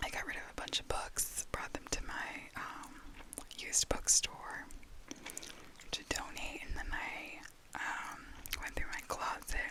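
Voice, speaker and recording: A woman whispering at a fairly slow pace, with noticeable background noise. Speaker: ASMR content creator. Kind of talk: casual talk to camera. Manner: whispered, soft-spoken.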